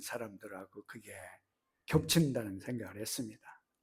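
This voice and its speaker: A man's somewhat breathy voice. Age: 70s. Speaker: missionary. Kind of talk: sermon. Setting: church. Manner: halting.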